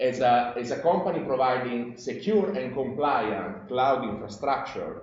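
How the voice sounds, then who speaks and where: With an Italian accent, a man talks at a moderate pace amid audible room echo and noticeable background noise. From Italy. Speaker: industry scientist. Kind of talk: conference presentation. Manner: halting, many fillers.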